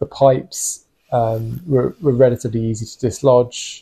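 Here a man's voice sits at a medium pitch, somewhat breathy, with a dark, mellow tone. His intonation stays fairly even. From England. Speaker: renovation vlogger. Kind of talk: casual narration of video. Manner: hesitant, with fillers.

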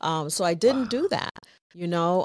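A woman's fairly low voice at a moderate pace, dry with no echo, against a quiet background. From New England, US (born in Puerto Rico). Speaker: social worker; podcast guest. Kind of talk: interview. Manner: laughs often. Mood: reflective, candid storytelling. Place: home room. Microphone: studio mic.

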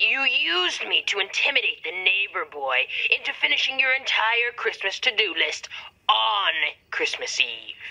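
A put-on character voice, female-sounding, at a moderate pace. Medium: short film. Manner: stern, ominous.

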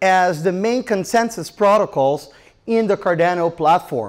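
At a fairly slow pace, a man with a high pitch talks over a quiet background. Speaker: presenter. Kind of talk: conference talk. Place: hall. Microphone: handheld.

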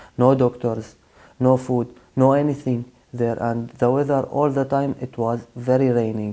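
Speaking fairly slowly against a quiet background, a man uses a dark, mellow tone and flat, monotone intonation. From Syria. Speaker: asylum seeker; interviewee. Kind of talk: interview testimony; interview answer. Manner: halting. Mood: subdued, serious. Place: studio.

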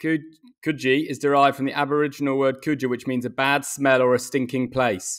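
Over a quiet background, a man with an English accent speaks in a flat, monotone way. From England. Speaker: cricketer, podcast co-host; podcast co-host. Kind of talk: casual chat. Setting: video call. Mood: relaxed, jokey. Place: home room. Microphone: earbuds.

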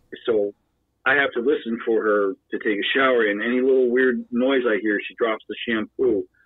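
With an American accent, a man at medium pitch uses a plain, everyday voice, speaking at a moderate pace with fairly even intonation. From Pennsylvania. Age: 40s. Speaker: former Marine and wheelchair user. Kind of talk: casual chat.

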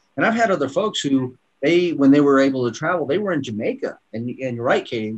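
With lively intonation, a man is talking. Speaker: product formulator. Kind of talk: casual promotional panel chat. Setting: video call. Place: office. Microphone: webcam.

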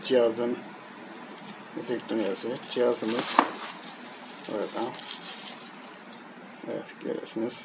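Over faint background noise, a man at a medium pitch speaks slowly with fairly even intonation and long, frequent pauses.

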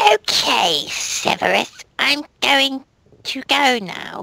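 This is a female-sounding, put-on character voice with a high pitch. It talks at a very slow pace. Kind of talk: melodramatic amateur reading. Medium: read story. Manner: loud, emphatic.

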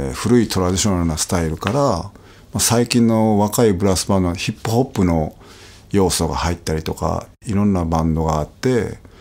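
Over noticeable background noise, a man with a very deep, low pitch speaks with lively intonation. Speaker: trumpet player. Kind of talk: casual chat. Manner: hesitant, many fillers.

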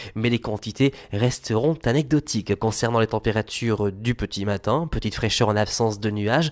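In a normal speaking voice, a man at medium pitch keeps a moderate pace with hardly any pauses and ordinary pitch variation, recorded dry and close with no echo. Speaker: weather forecaster. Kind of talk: scripted weather report. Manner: formal, brisk, even delivery; clear, measured, listing temperatures and regions.

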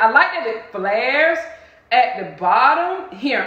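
Audible room echo surrounds the voice. A woman is speaking with an American accent. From Southern US (Georgia). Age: 50s. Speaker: style vlogger. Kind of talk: casual talk to camera. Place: home room.

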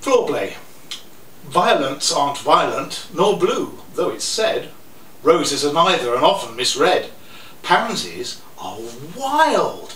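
A man speaks at a very slow pace, leaving long, frequent pauses. Audible room echo and light background noise are present. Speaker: poet. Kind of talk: poetry reading. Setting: live venue, poetry cafe. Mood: playful, humorous. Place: cafe. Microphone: camera far.

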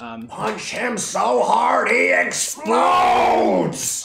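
Shouting at a very slow pace, a man puts on a character voice with a slight echo. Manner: impression, not well done.

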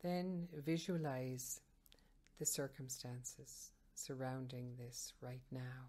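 The voice is dark and mellow, gentle and calm in tone, moving at a very slow pace with ordinary pitch variation. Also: woman, very deep, low pitch for a woman. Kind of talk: guided meditation. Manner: slow, calm, soothing; gentle, measured, with long pauses.

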